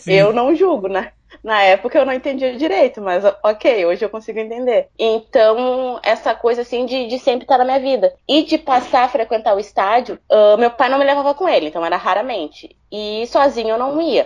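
A woman speaks in a high voice with lively intonation. Her pace is moderate, with hardly any pauses. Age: 30s. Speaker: football fan, accountant. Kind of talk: casual interview.

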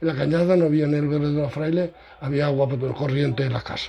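Noticeable background noise accompanies a man with a fairly high pitch. He talks very fast with ordinary pitch variation. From Andalusia, Córdoba province. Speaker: parish priest. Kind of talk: interview. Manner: animated.

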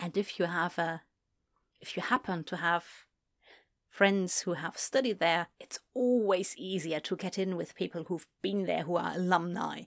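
In an American accent, a woman speaks at a fairly slow pace with a fairly low pitch and ordinary pitch variation, on a very clean recording with a silent background. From Germany. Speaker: audiobook narrator. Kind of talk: casual commentary on audiobook recording. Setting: home recording booth.

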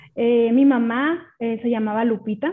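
A woman's fairly high-pitched, a normal speaking voice carries fairly even intonation. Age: 30s. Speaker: podcast guest sharing her grief. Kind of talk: personal testimony.

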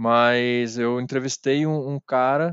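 This man has a plain, everyday voice, pitched in the medium range, with fairly even intonation. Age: 30s. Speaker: journalist and DJ. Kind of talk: casual interview chat.

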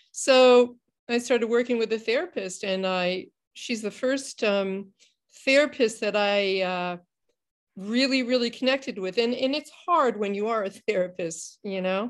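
A woman talks at a fairly slow pace with a fairly high pitch and ordinary pitch variation on a very clean recording with a silent background. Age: 60s. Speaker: mental health counselor. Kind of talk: interview. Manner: halting.

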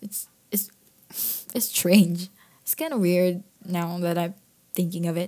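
At a very slow pace with long, frequent pauses, a woman speaks in a fairly low pitch with a dark, mellow tone, fairly even intonation and big swings in loudness. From Philippines. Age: 20s. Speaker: podcaster and student. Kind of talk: casual monologue. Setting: recording in living room. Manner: frequent laughter. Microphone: echoey room sound.

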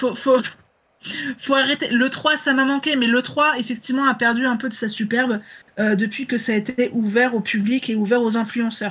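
The tone is fairly bright and the pace fairly quick. Intonation stays fairly even.

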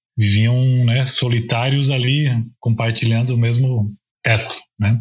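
Somewhat breathy, a man talks at medium pitch and a fairly slow pace with fairly even intonation. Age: 40s. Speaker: journalist and author. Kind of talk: casual interview.

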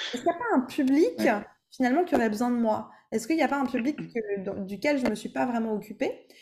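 A woman's high, dark and mellow voice with lively intonation at a very fast pace. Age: 20s. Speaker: vocal coach. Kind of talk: casual interview.

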